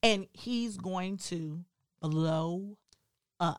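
The speaker is a woman. Her pitch is fairly low. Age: 40s. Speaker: podcast co-host. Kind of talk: casual chat.

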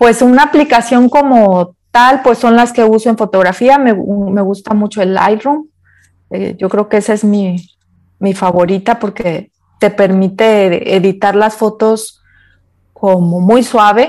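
With an ordinary speaking voice, a woman talks at a fairly slow pace and a fairly high pitch, using ordinary pitch variation. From Mexico, Guadalajara area. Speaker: photographer. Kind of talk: interview.

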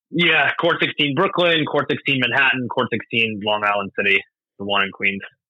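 With an American accent and an unremarkable speaking voice, a man talks at a moderate pace with lively intonation and very even loudness. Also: medium pitch for a man. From US Northeast, Doylestown, Pennsylvania (earlier Florida). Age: 30s. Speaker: tennis coach and operations director. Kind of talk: podcast interview.

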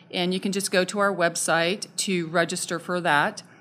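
With an American accent and a bright, sharp tone, the speaker talks at a fairly slow pace. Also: woman. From Southern Arizona. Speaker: parks and recreation director. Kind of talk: interview.

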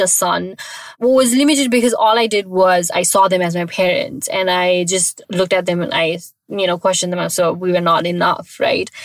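A woman's medium-pitched voice with lively intonation, amid noticeable background noise. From Nepal. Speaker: podcast host. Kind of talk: personal monologue.

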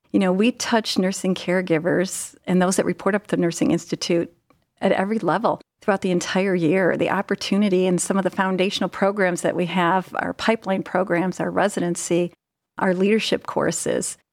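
On a very clean, dry, close recording with no echo and a silent background, a woman with an American accent speaks in a plain, everyday voice at medium pitch, fairly quickly, with fairly even intonation and very even loudness. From US Midwest, Ohio (Cleveland area). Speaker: nurse executive. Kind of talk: interview.

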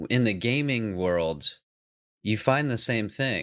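In a plain, everyday voice, a man speaks at a fairly slow pace and fairly low pitch on a very clean recording with a silent background. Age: 30s. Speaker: business owner and podcast host. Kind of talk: casual interview chat.

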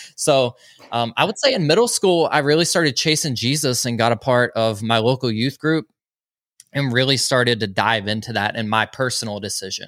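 Someone with a Southern US accent speaks in a dry, close sound with no echo. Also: man, medium pitch for a man, ordinary pitch variation, fairly quick pace. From US South, Georgia (small town). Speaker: podcast host and mental health advocate. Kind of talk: testimony interview. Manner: animated.

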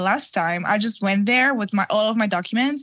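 The tone is bright and sharp, with lively intonation. The pace is moderate. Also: woman. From Italy. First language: Italian. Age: 20s. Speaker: fashion designer. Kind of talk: interview.

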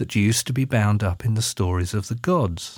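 On a very clean recording with a silent background, a man with an English accent sounds somewhat breathy. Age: 50s. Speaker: minister and podcast host. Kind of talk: spoken essay. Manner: formal.

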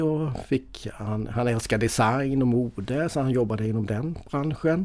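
A man of medium pitch talks at a fairly slow pace, his pitch varying in an ordinary way. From Sweden, Småland east coast (Mönsterås). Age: 50s. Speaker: financial advisor. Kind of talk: casual interview. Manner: halting, many fillers and repetitions.

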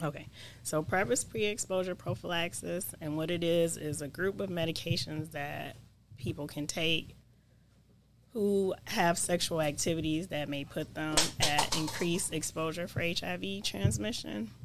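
Her voice is very deep and low for a woman. She speaks at a moderate pace with lively intonation. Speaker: nurse practitioner, HIV prevention. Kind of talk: casual interview.

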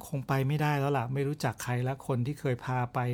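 He has an unremarkable speaking voice, with a fairly high pitch for a man. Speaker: podcast host, outdoor travel storyteller. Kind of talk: storytelling monologue.

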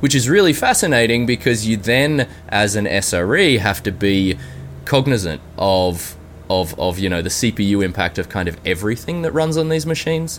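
This voice speaks with an Australian accent and very wide pitch swings. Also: man, fairly low pitch for a man, moderate pace. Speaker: software engineer. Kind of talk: interview.

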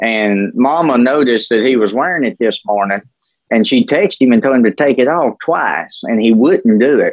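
A man speaks with a rural Southern US accent at a moderate pace and medium pitch. His loudness stays very even, and his pitch varies in an ordinary way. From West Tennessee, Dyer County. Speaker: podcast co-host. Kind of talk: casual chat.

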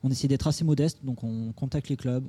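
A man talks at a very fast pace in a dark, mellow, somewhat breathy voice with a medium pitch and ordinary pitch variation. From Toulouse, southern France. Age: 30s. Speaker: AI startup co-founder. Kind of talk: interview. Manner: hesitant, many fillers.

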